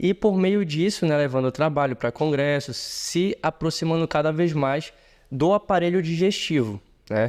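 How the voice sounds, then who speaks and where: A plain, everyday voice from a man at fairly high pitch, with lively intonation, a moderate pace, and a dry, close sound with no echo. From Brazil, Pará (Marabá). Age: 30s. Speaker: surgeon. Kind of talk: interview conversation.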